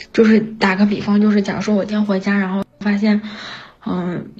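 Speaking at a fairly quick pace, a woman with medium pitch and fairly even intonation is heard with audible room echo and noticeable background noise. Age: 30s. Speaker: caller, factory worker. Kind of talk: personal confession on call-in show. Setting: remote connection to live stream mic. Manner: halting with many fillers.

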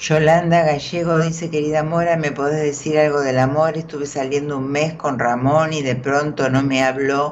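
This woman speaks in a very deep, low pitch with a monotone, flat intonation. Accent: Rioplatense. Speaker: tarot reader. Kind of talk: casual chat.

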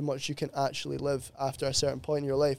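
A man with a Glasgow accent, fairly high-pitched and at a very fast pace, in a very clean recording with a silent background. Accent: Scottish (Glasgow area). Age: 20s. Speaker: sports therapist. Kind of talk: casual chat.

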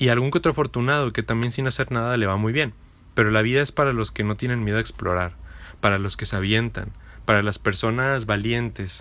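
On a very clean recording with a silent background, a man speaks fairly quickly in a medium pitch with a bright, sharp tone. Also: ordinary pitch variation. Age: 20s. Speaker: podcaster. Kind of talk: motivational monologue.

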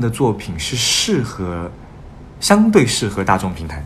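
A man talks fairly slowly amid noticeable background noise and audible room echo. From Beijing. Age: young. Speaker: singer-songwriter and stage director. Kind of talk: interview chat.

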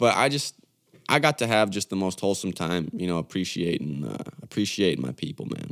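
In a very clean recording with a silent background, a man with vocal fry and a very deep, low pitch talks fairly quickly with very wide pitch swings. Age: 20s. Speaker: podcast host and musician. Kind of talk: casual monologue. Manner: halting, many fillers and restarts.

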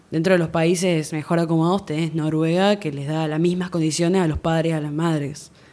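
Fairly low for a woman, her voice runs in a flat monotone at a fairly quick pace with hardly any pauses. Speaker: podcast guest, host's sister. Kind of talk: casual chat.

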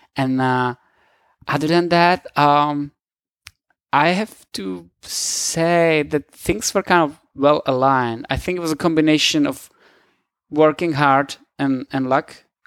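A man with a Czech accent and a fairly high pitch, speaking at a very slow pace with long, frequent pauses and ordinary pitch variation, in a dry, close, echo-free sound on a very clean recording with a silent background. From Czech Republic. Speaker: motion designer. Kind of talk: casual interview. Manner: halting.

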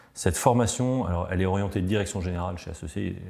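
Very deep and low in pitch, a man's voice has a dark, mellow tone and ordinary pitch variation. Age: 40s. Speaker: tech company founder. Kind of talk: interview storytelling. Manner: hesitant, many fillers.

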